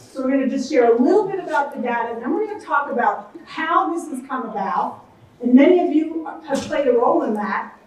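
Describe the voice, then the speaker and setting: Over noticeable background noise, a woman talks at a fairly quick pace in a high voice with lively intonation. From US Northeast, Pennsylvania. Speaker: traffic safety expert and speaker. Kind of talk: conference presentation. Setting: conference session with audience. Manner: fast.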